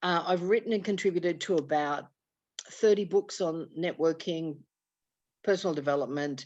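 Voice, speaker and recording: Against a quiet background, a woman with an Australian accent and a fairly low pitch talks at a moderate pace with ordinary pitch variation and long, frequent pauses. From Australia, Sydney. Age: 60s. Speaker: networking speaker and author. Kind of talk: casual chat.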